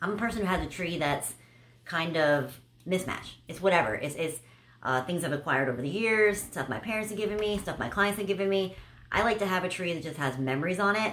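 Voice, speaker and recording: At a very fast pace and with lively intonation, a woman talks over light background noise. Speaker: haul vlogger. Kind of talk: casual vlog chat. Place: home room.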